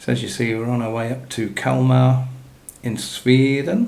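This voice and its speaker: A man with an English accent mumbles. The room echo is audible. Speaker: gaming YouTuber. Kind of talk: gameplay commentary. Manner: mumbling; casual.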